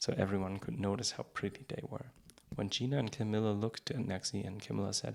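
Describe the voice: The text is read aloud plainly.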